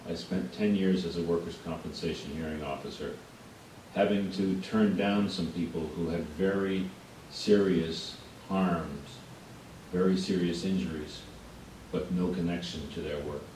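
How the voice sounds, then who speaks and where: A very deep, low male voice at a fairly slow pace, fairly even in intonation, with long, frequent pauses and audible room echo. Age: 60s. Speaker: witness at public hearing. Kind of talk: testimony.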